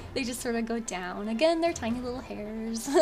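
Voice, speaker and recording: Over music in the background, a woman mumbles with a fairly high pitch and ordinary pitch variation. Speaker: digital artist. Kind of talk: tutorial voiceover. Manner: mumbling a bit.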